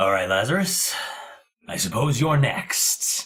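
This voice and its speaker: A raspy, put-on character voice moves at a fairly slow pace. Its pitch swings very widely. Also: man, fairly high pitch for a man. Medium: actual play. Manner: curt, deadpan, unsmiling.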